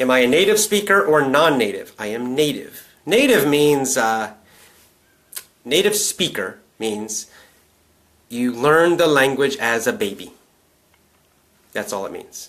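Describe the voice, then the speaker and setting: A man's fairly high voice with an American accent, fairly slow, full of long, frequent pauses and very wide pitch swings. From US South. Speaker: English teacher. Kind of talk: live stream Q&A.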